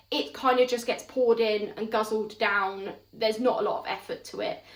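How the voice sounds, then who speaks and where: With a southern English accent, a woman talks at a moderate pace in a fairly high pitch with ordinary pitch variation. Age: 30s. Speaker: mother, parenting vlogger. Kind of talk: casual talk to camera.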